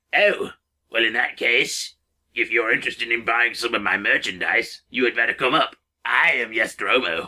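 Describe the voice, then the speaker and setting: At a moderate pace, the speech comes in a put-on character voice. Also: man, medium pitch for a man. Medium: read story. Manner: grumpy, slow.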